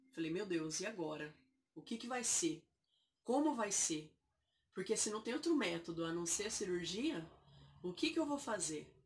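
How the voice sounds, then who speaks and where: A somewhat breathy woman at medium pitch speaks at a moderate pace, her pitch swinging very widely, with long, frequent pauses. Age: 20s. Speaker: vlogger sharing health story. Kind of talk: personal testimony. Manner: halting.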